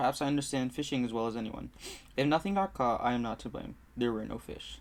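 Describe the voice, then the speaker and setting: With a non-native accent, a man speaks at a very fast pace with ordinary pitch variation. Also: medium pitch for a man. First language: not English. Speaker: book club video host. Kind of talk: reading aloud. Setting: home room by a busy street. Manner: halting.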